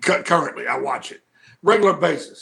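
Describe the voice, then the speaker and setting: A man with a Southern US accent speaks at a moderate pace in a high pitch and a bright, sharp tone. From US South, Mid-South near Memphis. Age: 50s. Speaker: pro wrestling manager. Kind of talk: casual interview chat. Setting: studio.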